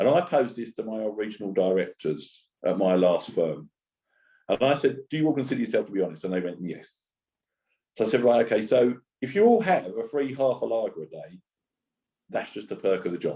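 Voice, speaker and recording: Long, frequent pauses in a Cockney accent. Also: man. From East End of London. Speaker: charity speaker on homelessness and employment. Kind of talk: conference talk.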